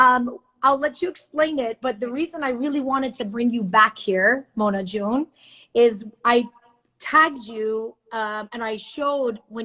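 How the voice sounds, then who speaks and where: Bright, sharp tone from a woman with an Iranian accent, fairly high pitch, ordinary pitch variation and a moderate pace. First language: Farsi. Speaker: news anchor. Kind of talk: casual chat. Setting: video call.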